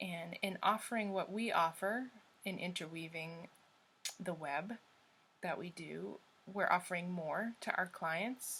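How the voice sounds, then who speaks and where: The woman's tone is bright and sharp. She talks at a fairly slow pace, with long, frequent pauses. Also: fairly low pitch for a woman, ordinary pitch variation. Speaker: tarot reader. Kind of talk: spiritual monologue to viewers. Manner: filler-heavy, many ums.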